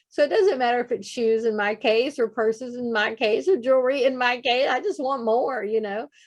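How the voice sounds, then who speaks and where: Her pitch high, this woman talks at a fairly quick pace with hardly any pauses and ordinary pitch variation. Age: 50s. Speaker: nonprofit founder, leadership guest. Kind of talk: interview conversation. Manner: animated.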